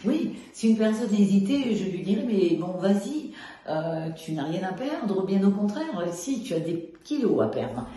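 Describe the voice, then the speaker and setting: Amid noticeable background noise and audible room echo, a woman of medium pitch talks at a fairly slow pace. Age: 70s. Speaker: weight-loss program client. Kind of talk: testimony. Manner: hesitant, many fillers.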